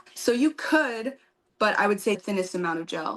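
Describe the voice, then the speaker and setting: A woman speaks in an unremarkable speaking voice at a moderate pace with lively intonation. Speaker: nail technician and educator. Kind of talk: live tutorial Q&A chat.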